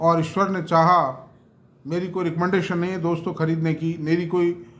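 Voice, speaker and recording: A man talks at a high pitch with fairly even intonation, and the room echo is audible. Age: 70s. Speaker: stock market commentator. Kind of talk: investment talk to camera. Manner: conversational, mixing Hindi and English.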